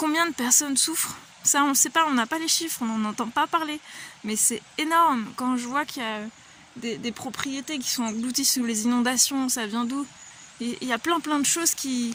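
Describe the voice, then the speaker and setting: A woman speaks at a moderate pace in a high pitch, her loudness swinging widely. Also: ordinary pitch variation. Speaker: vlogger. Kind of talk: personal vlog monologue. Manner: hesitant, many fillers.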